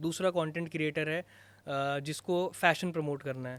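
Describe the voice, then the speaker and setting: In a very clean recording with a silent background, a man with a plain, everyday voice speaks at a fairly high pitch with fairly even intonation. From Uttarakhand, Garhwal. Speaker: content creator. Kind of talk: podcast interview. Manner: casual, Hindi-English code-switching.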